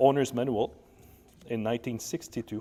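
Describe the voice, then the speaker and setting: A man talks at a fairly quick pace. He has a French-Canadian accent. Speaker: vintage scooter shop owner. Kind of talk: product presentation to camera. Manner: casual, hesitant.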